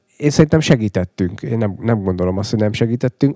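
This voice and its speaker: The man speaks with ordinary pitch variation in a dark, mellow tone. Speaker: cycling race director. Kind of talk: casual interview chat.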